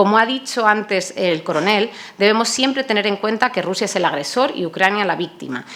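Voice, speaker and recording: Amid noticeable background noise, a woman at medium pitch speaks at a fairly quick pace with lively intonation. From Spain, Toledo. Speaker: NATO public diplomacy coordinator, panelist. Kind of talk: conference panel talk. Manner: hesitant, many fillers.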